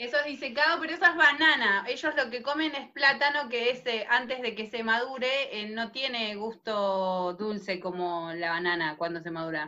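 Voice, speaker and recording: Fairly high in pitch, a woman talks at a moderate pace with hardly any pauses and very wide pitch swings. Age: 30s. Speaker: podcast host. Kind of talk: casual chat.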